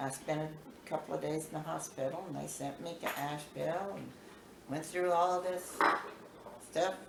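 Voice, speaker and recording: A woman speaks at a moderate pace with an American accent and fairly even intonation. Noticeable background noise and audible room echo fill the recording. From US South, North Carolina. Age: 70s. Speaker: grandmother telling life stories. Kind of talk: storytelling to family. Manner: halting.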